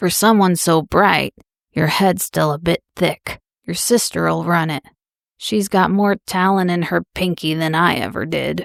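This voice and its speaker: In a put-on character voice, a woman speaks raspy and fairly low at a fairly slow pace, the sound dry and close with no echo. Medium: read story. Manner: warm, unhurried.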